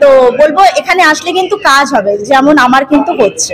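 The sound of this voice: A woman's high-pitched, fairly bright voice at a fast pace, with lively intonation and faint background noise.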